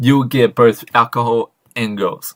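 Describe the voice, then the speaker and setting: A man speaks with an Australian accent. His pitch sits in the medium range, and his intonation stays fairly even. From Australia, Sydney. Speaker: interviewer. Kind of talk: casual chat.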